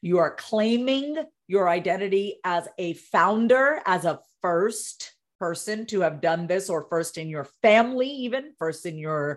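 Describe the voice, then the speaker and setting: In an American accent and a normal speaking voice, a woman talks at a fairly slow pace with lively intonation on a very clean recording with a silent background. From Long Island, New York. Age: 40s. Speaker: therapist and communication coach. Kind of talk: interview.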